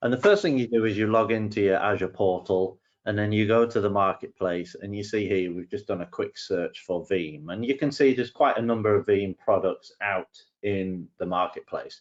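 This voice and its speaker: With an English accent, a man with a fairly low pitch talks at a moderate pace, with hardly any pauses and ordinary pitch variation. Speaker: solutions engineer. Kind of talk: tutorial. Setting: webinar.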